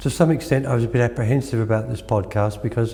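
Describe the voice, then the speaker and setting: A somewhat breathy male voice with an Australian accent, medium pitch and ordinary pitch variation. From Australia, country Victoria. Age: 80s. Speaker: Reiki master. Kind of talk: interview.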